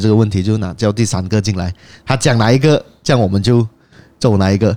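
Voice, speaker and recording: A man talking at a very fast pace, fairly low in pitch, with a dark, mellow tone. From Penang, Malaysia. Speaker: podcast host. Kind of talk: casual chat. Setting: cafe.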